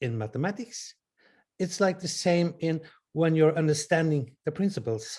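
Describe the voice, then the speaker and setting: On a very clean recording with a silent background, a man with a Norwegian accent speaks at a fairly high pitch, with a dark, mellow tone and lively intonation. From Norway. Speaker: audience participant. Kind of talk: question from the audience.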